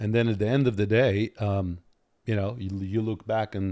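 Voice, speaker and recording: The recording is very clean, with a silent background. A man speaks in a dark, mellow tone. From Soviet Armenia. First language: Armenian. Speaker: lawyer. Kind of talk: podcast interview.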